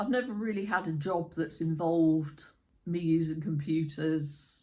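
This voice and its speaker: A woman's very deep, low voice, somewhat breathy, with a dark, mellow tone and a fairly slow pace. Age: 50s. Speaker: YouTuber. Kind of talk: casual talk to camera.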